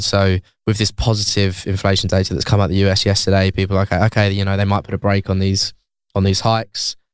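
On a very clean recording with a silent background, a man speaks very fast in a monotone, flat intonation. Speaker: fuel oil analyst. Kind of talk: casual chat. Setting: studio.

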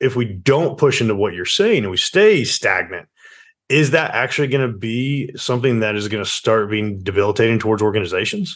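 With an ordinary speaking voice, a man of medium pitch talks at a fairly quick pace with ordinary pitch variation. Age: 30s. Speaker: podcast host. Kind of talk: interview.

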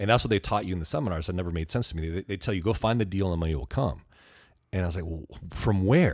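Very fast and very deep, a man speaks in a Californian accent on a very clean recording with a silent background. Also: ordinary pitch variation. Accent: Californian American. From US West Coast, Ventura County, California. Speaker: real estate investor and public speaker. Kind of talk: interview conversation. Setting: at guest's home.

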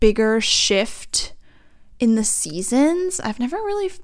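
A woman speaks slowly with lively intonation. Her tone is clear and smooth.

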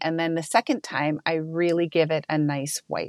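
A plain, everyday voice at a fairly slow pace, dry and close with no echo, against a quiet background. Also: woman. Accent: American. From United States. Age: 50s. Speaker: skincare company co-founder. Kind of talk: interview.

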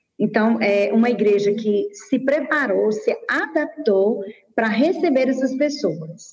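Speaking very slowly, a woman with a high voice uses lively intonation while keeping her loudness very even. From Brazil, Teresina, Piauí. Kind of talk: interview.

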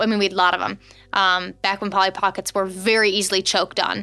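Over background music, a woman with an American accent speaks very fast at a medium pitch in a flat monotone. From US Midwest. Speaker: podcast co-host. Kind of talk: casual chat. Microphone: very close to the mic.

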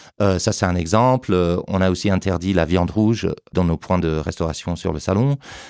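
A man with an English accent speaks in a very deep, low voice at very even loudness. The recording is very clean, with a silent background. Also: ordinary pitch variation, moderate pace. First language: English (speaking French). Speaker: trade show director. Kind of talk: interview. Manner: halting, many repetitions and hesitations.

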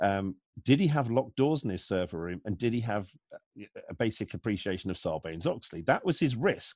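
In a normal speaking voice, a man talks at a fairly quick pace with lively intonation, the sound dry and close with no echo. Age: 40s. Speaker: security analyst. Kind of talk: interview.

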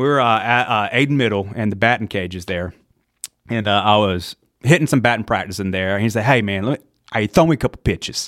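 A man with a Southern US accent talks at a very fast pace in a fairly low voice with ordinary pitch variation, the sound dry and close with no echo. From US South, eastern North Carolina. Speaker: EMT. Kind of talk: casual chat. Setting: studio. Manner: animated.

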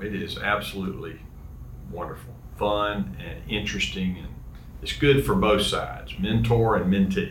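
The speaker has a Southern US accent. The pitch swings very widely. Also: man. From US South, Georgia. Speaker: guest host, alumnus and former teacher. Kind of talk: casual interview chat.

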